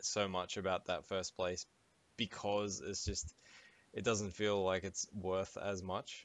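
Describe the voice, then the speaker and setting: In an Australian accent, a man with a very deep, low pitch speaks at a very slow pace with monotone, flat intonation. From Sydney, Australia. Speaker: gaming podcast co-host. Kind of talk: casual chat.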